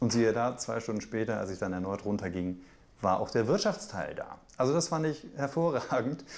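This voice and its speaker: Very wide pitch swings from a man talking at a moderate pace. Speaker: journalist, TV news presenter. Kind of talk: interview answer, casual anecdote to camera. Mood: amused, smiling anecdote. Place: kitchen.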